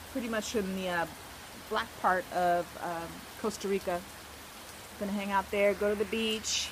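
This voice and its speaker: Over noticeable background noise, a woman with a medium-pitched voice speaks in a fairly even tone, leaving long, frequent pauses. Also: moderate pace. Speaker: travel vlogger, volunteer on a ranch. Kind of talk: casual talk to camera. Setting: outdoors, rainforest.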